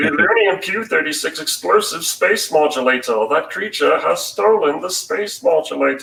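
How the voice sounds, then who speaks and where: A man puts on a character voice and delivers it at a moderate pace. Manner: cartoonish, funny.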